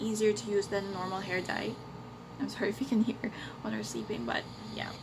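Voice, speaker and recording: A woman talks at a fairly high pitch. Noticeable background noise runs behind her. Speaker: beauty vlogger. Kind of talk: product review vlog. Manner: casual, hesitant with fillers.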